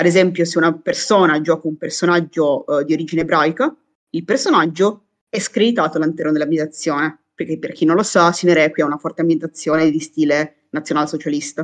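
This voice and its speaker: At a very fast pace, a woman talks in a very deep, low voice with ordinary pitch variation. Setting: video call.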